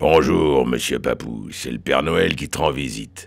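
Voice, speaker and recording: Raspy, put-on character voice from a man, very deep and low in pitch, with ordinary pitch variation at a moderate pace. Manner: jolly.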